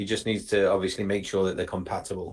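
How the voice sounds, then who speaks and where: A man with an English accent speaks at a fairly quick pace. His pitch sits fairly low. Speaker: webinar presenter. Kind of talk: live webinar Q&A.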